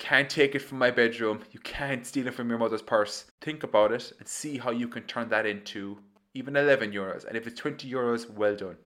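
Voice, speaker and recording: A man's bright, sharp voice in a Kerry accent, with ordinary pitch variation, on a very clean recording with a silent background. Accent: Kerry Irish. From Ireland, County Kerry. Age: 20s. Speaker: podcast host and entrepreneur. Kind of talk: solo storytelling monologue. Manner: animated.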